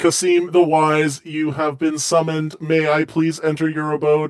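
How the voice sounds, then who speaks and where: Using a put-on character voice, a man with a fairly high pitch talks at a moderate pace in a monotone, flat intonation. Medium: actual play. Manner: formal, stiff.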